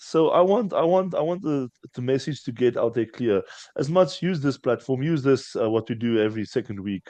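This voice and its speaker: In a South African accent, a man speaks at a moderate pace with a fairly high pitch, lively intonation and a dark, mellow tone. The sound is dry and close with no echo, against a quiet background. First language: Afrikaans. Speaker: strongman athlete. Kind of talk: casual chat. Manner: halting, repeats words.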